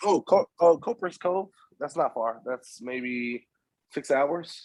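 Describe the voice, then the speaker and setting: A man with a Southern accent talks at a very slow pace in a fairly high voice, leaving long, frequent pauses, and the sound is dry and close with no echo. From Texas. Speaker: webinar co-host. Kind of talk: casual chat. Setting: online webinar.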